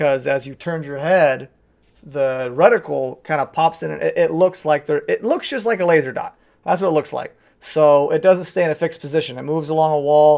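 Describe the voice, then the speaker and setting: Against a quiet background, a man talks fairly quickly in a fairly high voice with ordinary pitch variation. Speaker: gaming youtuber. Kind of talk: casual video review. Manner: hesitant, many ums.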